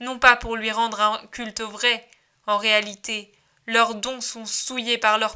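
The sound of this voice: The background stays quiet. Someone reads in an unforced reading voice.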